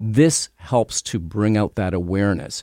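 A man with a Canadian accent speaks in an unremarkable speaking voice, fairly low in pitch with ordinary variation, recorded dry and close with no echo against a silent background on a very clean track. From Canada. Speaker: retired police detective and author. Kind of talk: radio interview.

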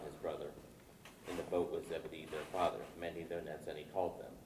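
Over noticeable background noise, a man speaks in a very deep, low voice with flat, monotone intonation. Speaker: congregation member. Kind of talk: reading aloud.

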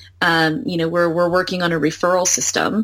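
A woman speaks in a normal speaking voice with an American accent. Her pitch is fairly low, with ordinary pitch variation. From United States. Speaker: founder and CEO of a VR company. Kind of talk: casual interview.

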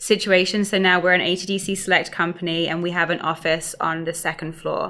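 At a moderate pace, a woman with a fairly low pitch speaks in a flat, monotone way with a bright, sharp tone. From London area, England. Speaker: startup founder. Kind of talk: interview.

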